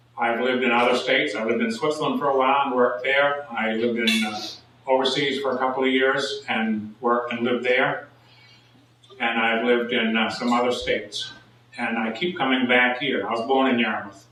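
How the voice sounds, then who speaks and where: Speaking at a fairly quick pace in a medium pitch, a man delivers his words in a flat monotone, with audible room echo and noticeable background noise. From Maine. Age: 60s. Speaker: political candidate. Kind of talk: candidate forum speech. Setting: public forum with audience. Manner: halting, many fillers.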